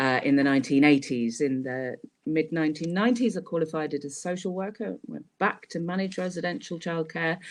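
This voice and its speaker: A woman's very deep, low voice with lively intonation. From Scotland, moved around. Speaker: social work trainer. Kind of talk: webinar presentation. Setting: online webinar. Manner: hesitant, many fillers.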